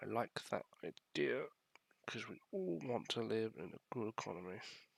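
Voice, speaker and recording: A man at a moderate pace, recorded with a dry, close sound and no echo. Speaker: video game let's play player. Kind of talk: gameplay commentary. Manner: casual, hesitant.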